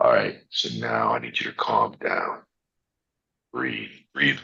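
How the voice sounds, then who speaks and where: Putting on a character voice, a man talks in a raspy, extremely high pitch at a fairly slow pace. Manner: calm, soothing.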